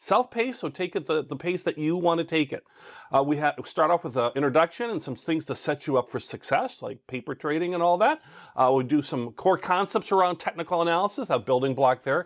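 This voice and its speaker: This man's voice sits fairly high for a man and moves with lively intonation. He speaks at a fairly quick pace against a quiet background. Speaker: online course instructor. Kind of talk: tutorial. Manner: fast; animated.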